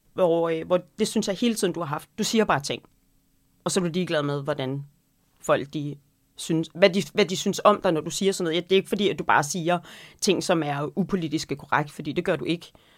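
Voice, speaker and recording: Using an ordinary speaking voice, a woman talks at a fairly quick pace with a fairly low pitch and ordinary pitch variation. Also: very clean recording, silent background. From North Jutland, Denmark. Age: 40s. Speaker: podcast co-host, restaurant owner and cookbook writer. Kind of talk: casual chat.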